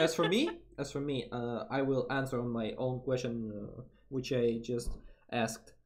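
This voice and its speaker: A man speaks with a Russian accent. His intonation stays fairly even. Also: medium pitch for a man, moderate pace. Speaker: vtuber streamer. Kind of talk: casual chat. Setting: live stream collab. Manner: halting.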